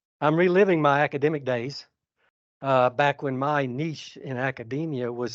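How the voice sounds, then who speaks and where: A man speaks in a Georgia accent at a medium pitch with fairly even intonation. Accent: Georgia Southern US. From US South. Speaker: conservation scientist. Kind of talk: keynote speech. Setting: stage with audience. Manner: calm.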